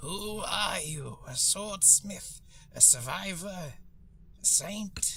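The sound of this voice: In a raspy, put-on character voice, someone speaks at a very slow pace over clear background noise.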